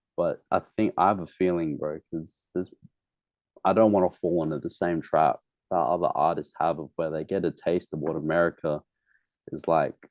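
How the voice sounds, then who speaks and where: With an Australian accent, a man speaks at a moderate pace in a very deep, low pitch and fairly even intonation. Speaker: musician. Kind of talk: casual interview. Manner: casual, slangy with hesitations.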